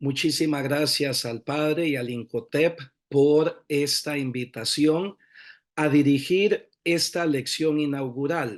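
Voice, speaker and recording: The speech unfolds at a very slow pace with fairly even intonation against a quiet background. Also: man, fairly high pitch for a man. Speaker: priest giving inaugural lecture. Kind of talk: lecture.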